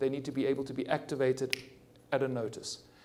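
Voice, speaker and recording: A fairly high-pitched man with a dark, mellow tone at a fairly quick pace, amid audible room echo. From South Africa. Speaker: cardiologist and hospital innovation executive. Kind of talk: conference panel discussion. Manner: halting, frequent stammered restarts.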